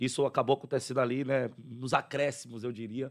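A man with a plain, everyday voice and a medium pitch talks at a fairly quick pace over a quiet background. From southern Bahia, Brazil. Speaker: radio host. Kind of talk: live radio interview. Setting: radio studio. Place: studio. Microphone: studio mic.

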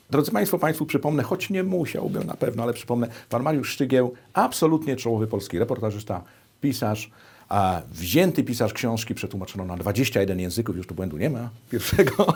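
This man talks at a fairly quick pace with a medium pitch and very wide pitch swings. The recording is very clean, with a silent background. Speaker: TV interviewer. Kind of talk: interview conversation. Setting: TV studio.

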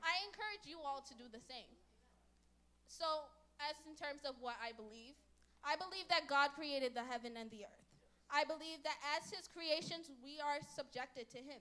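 At a moderate pace, a woman with a high pitch and ordinary pitch variation speaks in a raised, projected voice with a bright, sharp tone. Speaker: church member speaker. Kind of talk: prepared church talk. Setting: church. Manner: formal, earnest. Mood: earnest, devotional. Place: church. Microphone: handheld.

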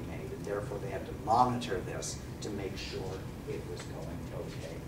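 A man at a moderate pace amid loud background noise. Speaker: lecturer. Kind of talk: lecture. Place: classroom. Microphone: camera far.

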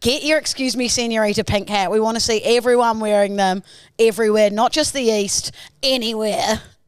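Her pitch fairly high, a woman with an Australian accent talks at a fairly quick pace in a dry sound with no echo. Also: ordinary pitch variation, quiet background. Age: 30s. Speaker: podcast co-host. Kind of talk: casual chat. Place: studio. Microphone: studio mic.

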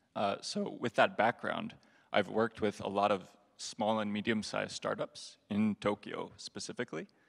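A quiet background and a man speaking at a moderate pace. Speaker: audience questioner; questioner. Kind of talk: audience Q&A. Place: hall.

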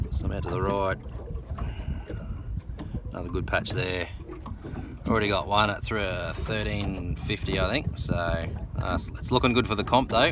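With long, frequent pauses, a man speaks over noticeable background noise in a dry sound with no echo. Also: fairly slow pace. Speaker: presenter. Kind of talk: casual vlog chat. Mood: upbeat, relaxed. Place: boat. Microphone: phone near.

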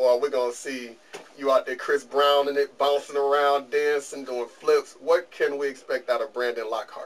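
With an American accent, a man speaks at a moderate pace in a fairly high pitch, his intonation monotone and flat. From Detroit, US. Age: middle-aged. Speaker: interview show host. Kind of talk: interview. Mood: relaxed, friendly. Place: studio. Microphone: camera far.

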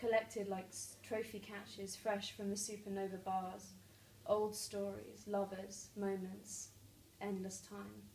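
A woman's nervous, monotone, flat delivery at a fairly slow pace, with light background noise and audible room echo. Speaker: poet. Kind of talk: spoken word poetry, reading aloud own poem with flowing, vivid science imagery. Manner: nervous at first, then lyrical and measured; laughs and stumbles mid-poem. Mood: calm, measured. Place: home room. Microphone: camera far.

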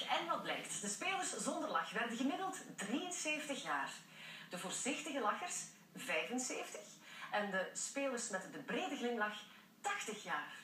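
A fairly slow delivery with audible room echo and light background noise. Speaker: TV presenter. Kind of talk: TV news presentation. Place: studio.

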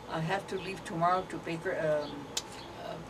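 Over noticeable background noise, a woman speaks fairly slowly in a fairly low voice with fairly even intonation. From Arizona, US Southwest. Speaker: elderly interviewee sharing family history; interviewee. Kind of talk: oral history interview. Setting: at home, partly outdoors in the garden. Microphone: camera far.

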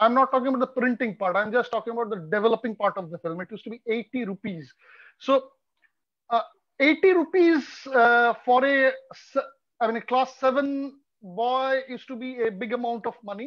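A man's extremely high-pitched voice at a moderate pace, with ordinary pitch variation, big swings in loudness, and long, frequent pauses. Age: 40s. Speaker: street photographer. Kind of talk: casual chat. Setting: video call.

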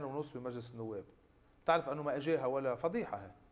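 A man speaks at a moderate pace with ordinary pitch variation. His pitch is fairly high. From Lebanon. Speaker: member of parliament; guest. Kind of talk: political interview. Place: studio. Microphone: lapel.

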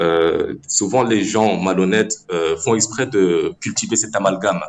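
A man's fairly low voice at a very slow pace. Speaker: caller. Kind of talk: call-in discussion.

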